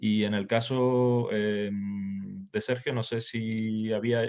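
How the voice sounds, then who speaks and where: This man speaks in a Canarian accent at a medium pitch. His intonation stays fairly even. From Canary Islands, Tenerife. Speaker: session moderator. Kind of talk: virtual workshop discussion. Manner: halting, many repetitions.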